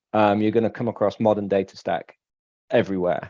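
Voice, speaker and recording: A man with an English accent, fairly low in pitch with a dark, mellow tone, against a quiet background. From England, Manchester area. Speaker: solution architect. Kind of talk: panel discussion.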